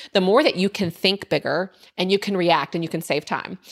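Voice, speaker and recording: At a fairly quick pace, a normal speaking voice comes through a very clean recording with a silent background. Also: woman. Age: 30s. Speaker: entrepreneur. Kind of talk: casual chat.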